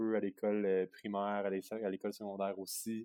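The speaker is a man with a fairly low pitch. He has a plain, everyday voice. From Quebec, Sherbrooke. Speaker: biathlete. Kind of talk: interview. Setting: remote call.

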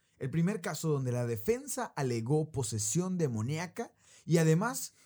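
A man speaks at a very slow pace. His somewhat breathy voice moves through very wide pitch swings. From Mexico, raised by Argentine parents. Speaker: podcast host. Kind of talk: storytelling about paranormal case.

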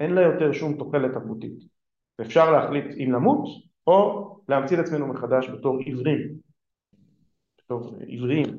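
A man's voice with audible room echo. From Israel. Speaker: political philosopher, think tank director. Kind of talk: lecture.

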